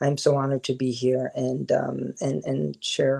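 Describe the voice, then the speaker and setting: Recorded dry and close with no echo, a man with an American accent speaks at a fairly slow pace. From New York and New Jersey, US. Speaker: filmmaker. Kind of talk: interview. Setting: podcast recording.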